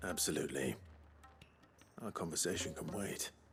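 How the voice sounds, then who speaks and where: A man speaks at a moderate pace in a put-on character voice that is raspy and very deep, with clear background noise behind him. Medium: video game.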